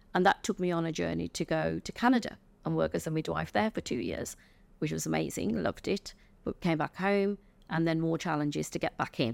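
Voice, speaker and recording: A woman with an English accent speaks at a fairly quick pace. The very clean recording has a silent background and a dry, close sound with no echo. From England. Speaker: retired chief nurse and healthcare consultant. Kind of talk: interview.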